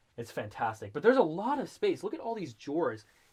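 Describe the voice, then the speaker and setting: The speaker sounds enthusiastic and talks at a moderate pace. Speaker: RV salesperson. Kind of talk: product walkthrough tour. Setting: inside a motorhome. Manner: loud.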